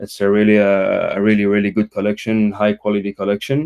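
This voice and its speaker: With a Quebec accent, a man speaks at a fairly quick pace in a fairly low pitch. The sound is dry and close, with no echo. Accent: French-Canadian accent in English. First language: French. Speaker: crypto community member. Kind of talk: casual chat. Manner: halting, many fillers.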